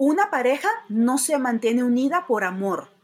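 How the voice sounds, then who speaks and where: This woman's high-pitched voice moves through very wide pitch swings. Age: 50s. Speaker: rideshare driver and comedian. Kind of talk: casual interview.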